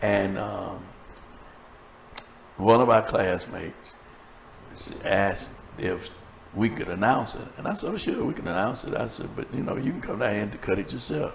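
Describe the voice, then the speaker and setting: A man with a fairly low pitch and ordinary pitch variation speaks at a moderate pace with long, frequent pauses, amid noticeable background noise and audible room echo. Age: 70s. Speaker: preacher and talk show host. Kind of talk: casual chat. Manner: animated.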